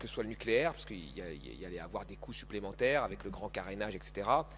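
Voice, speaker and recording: A man at a very fast pace. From Paris suburbs (Seine-Saint-Denis), France. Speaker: economist. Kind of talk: panel talk. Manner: animated.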